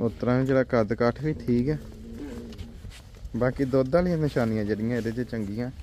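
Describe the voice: A man's medium-pitched voice, dark and mellow in tone, at a fairly quick pace with ordinary pitch variation.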